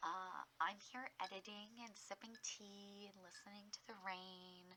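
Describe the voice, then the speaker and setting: A soft-spoken woman talks at a very slow pace in a relaxed tone. Her intonation stays monotone and flat. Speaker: hobby gardener. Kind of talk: casual soft-spoken ramble to camera. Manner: soft-spoken, relaxed.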